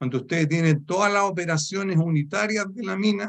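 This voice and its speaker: A man with a Chilean accent talks fairly quickly in a high voice. His intonation is lively. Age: 70s. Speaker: author of a mining dictionary, retired mining supervisor. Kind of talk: book presentation talk. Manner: hesitant, many fillers.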